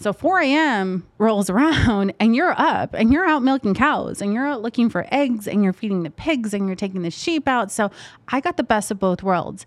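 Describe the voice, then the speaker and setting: A woman talks at a fairly quick pace with lively intonation. Hers is an unremarkable speaking voice. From Las Vegas, Nevada (North Las Vegas). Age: 20s. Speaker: realtor. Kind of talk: interview conversation.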